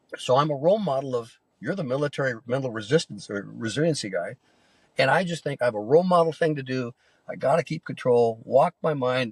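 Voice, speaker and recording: A man's somewhat breathy voice at medium pitch, very fast pace and ordinary pitch variation, with a dry, close sound and no echo. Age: 70s. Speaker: Air Force veteran, minister, endurance athlete. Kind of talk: interview answer.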